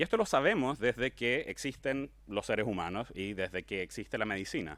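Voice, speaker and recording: On a very clean recording with a silent background, a man at a medium pitch speaks at a fairly quick pace with lively intonation. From Chile, Santiago. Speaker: cancer geneticist, research group leader. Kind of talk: popular science talk. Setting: talk with live audience.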